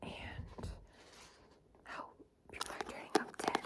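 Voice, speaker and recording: A woman whispers at a fairly slow pace with noticeable background noise. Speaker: ASMR creator. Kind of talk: ASMR book show and tell. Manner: whispering; soft-spoken.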